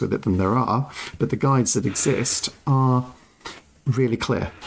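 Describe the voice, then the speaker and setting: With an English accent, a man speaks at a medium pitch. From England. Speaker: board game podcast co-host. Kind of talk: casual chat.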